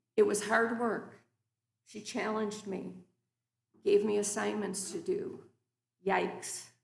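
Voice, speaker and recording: In a room with audible echo, a woman speaks at a fairly slow pace, leaving long, frequent pauses as her loudness swings widely. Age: 60s. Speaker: guest preacher. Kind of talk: sermon. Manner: formal.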